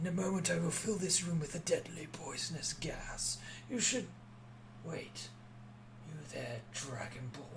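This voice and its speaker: The speaker uses a put-on character voice that is raspy. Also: man. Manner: ominous, wheezy.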